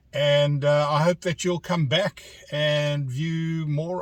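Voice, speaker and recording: A man with a South African accent, fairly high pitch, fairly even intonation and a somewhat breathy voice, at a fairly slow pace, in a dry, close sound with no echo. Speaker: vlogger. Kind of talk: casual narration while driving. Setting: in a car.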